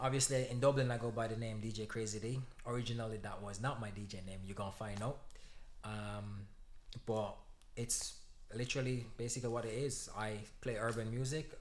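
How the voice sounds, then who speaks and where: A man with a Jamaican accent, medium pitch, fairly even intonation, a fairly quick pace broken by long, frequent pauses, and audible room echo. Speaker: DJ. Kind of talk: casual chat.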